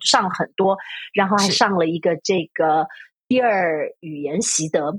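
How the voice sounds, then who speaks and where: Somewhat breathy woman's voice in a dry, close sound with no echo. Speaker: university Chinese lecturer. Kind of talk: casual interview chat. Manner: hesitant, many fillers.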